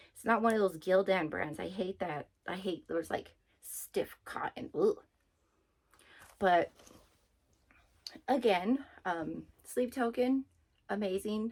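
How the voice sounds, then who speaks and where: Very slow and broken by long, frequent pauses, a woman's speech carries lively intonation. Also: medium pitch for a woman, big swings in loudness. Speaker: vlogger. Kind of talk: casual chat. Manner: hesitant with many fillers.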